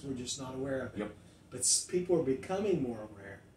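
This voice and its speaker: The speaker's intonation is lively, with light background noise and audible echo in the room. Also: man. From US Midwest, Ohio Valley. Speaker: pastor; pastor, podcast co-host. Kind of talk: casual chat. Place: studio.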